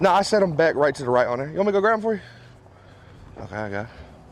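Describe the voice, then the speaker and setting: A man with an American accent talks in a relaxed tone with very wide pitch swings, over noticeable background noise. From Memphis, Tennessee (US South). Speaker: rapper and producer. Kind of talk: casual vlog chat. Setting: recording studio. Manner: casual, relaxed.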